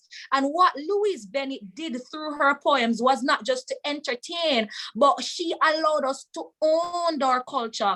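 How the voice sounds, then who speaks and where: A raised, projected voice in a Jamaican accent, bright, sharp and passionate in tone, with lively intonation, a fairly slow pace and hardly any pauses. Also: woman, high pitch for a woman. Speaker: webinar speaker. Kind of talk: testimony.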